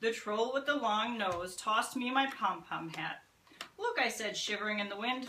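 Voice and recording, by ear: A natural read-aloud voice with pitch that varies in an ordinary way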